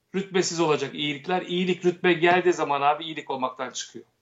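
Fairly high in pitch, a man talks at a moderate pace with fairly even intonation in an unremarkable speaking voice. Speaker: actor, director and satirical producer. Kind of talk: casual interview chat.

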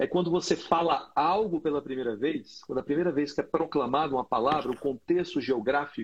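A man with a plain, everyday voice speaks fairly high in pitch, at a moderate speed, his pitch varying in an ordinary way. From Brazil, Brasília. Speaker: pastor and podcast host. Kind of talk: casual chat. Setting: video call.

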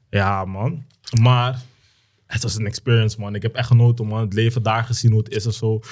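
On a very clean recording with a silent background, a man speaks fairly quickly in a flat monotone at a medium pitch, sounding somewhat breathy. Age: 20s. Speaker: perfume entrepreneur. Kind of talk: casual chat. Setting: studio.

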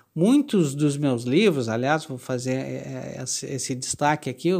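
A man speaks with lively intonation at a moderate pace. The recording is very clean, with a silent background. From Brazil, Porto Alegre, Rio Grande do Sul. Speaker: writer and journalist. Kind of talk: interview. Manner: halting, with repeated words and fillers.

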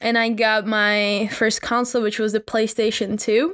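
A woman with a Czech accent, fairly slow and fairly even in intonation, on a very clean recording with a silent background and a dry, close sound free of echo. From Czech Republic. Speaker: podcast host. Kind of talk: casual monologue.

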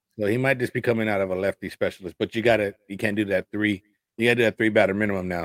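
Talking at a very fast pace, a man with a fairly low pitch keeps his intonation fairly even. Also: dry, close sound with no echo. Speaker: sports podcast host. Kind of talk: casual chat.

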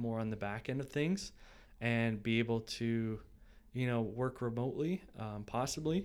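A man with a Canadian accent speaks at a fairly slow pace and medium pitch, with ordinary pitch variation and an ordinary speaking voice. The recording is very clean, with a silent background. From Ancaster, Ontario, Canada. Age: 20s. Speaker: videographer and business owner. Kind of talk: casual interview chat.

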